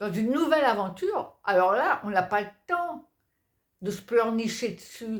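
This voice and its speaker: A very slow woman's voice, fairly high in pitch with very wide pitch swings, on a very clean recording with a silent background. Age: 50s. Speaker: personal development vlogger. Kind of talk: motivational talk to camera. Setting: staying at a friend's home in Belgium. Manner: casual, spontaneous with hesitations.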